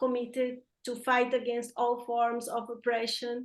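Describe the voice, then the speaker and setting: A woman talks in a high-pitched voice with a Brazilian accent. She keeps a moderate pace. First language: Portuguese. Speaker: environmental justice activist. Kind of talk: panel talk.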